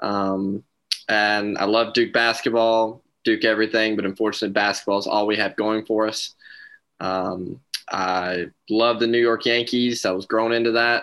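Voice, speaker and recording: Against a quiet background, a man with an American accent speaks at a moderate pace in a fairly low, monotone, flat voice. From North Carolina. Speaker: sports podcast co-host. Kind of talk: casual chat.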